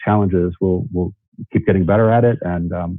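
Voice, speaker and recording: Speaking at a fairly quick pace, the man has a very deep, low pitch. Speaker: conference speaker. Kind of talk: conference talk with Q&A. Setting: virtual conference. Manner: fast; halting, many repetitions.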